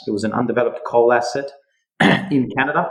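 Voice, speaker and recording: Here a man speaks in an Australian accent. His pitch is medium, with ordinary variation. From Western Australia (Perth). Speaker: mining and metals entrepreneur. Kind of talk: podcast interview.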